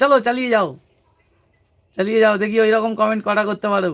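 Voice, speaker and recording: In a West Bengal accent, a man speaks with a high pitch and fairly even intonation. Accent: West Bengal Bengali. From West Bengal, South 24 Parganas. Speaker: comedy YouTuber. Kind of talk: casual live-stream chat. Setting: live stream.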